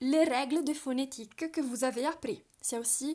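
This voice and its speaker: At a fairly slow pace, a woman talks in a high pitch with ordinary pitch variation and a dark, mellow tone. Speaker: language teacher. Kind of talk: tutorial. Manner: halting, many hesitations.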